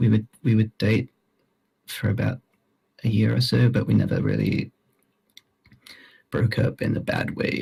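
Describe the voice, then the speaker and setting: A quiet man, in a dry, close sound with no echo. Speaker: mourner giving eulogy. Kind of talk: eulogy. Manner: halting. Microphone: poor recording quality.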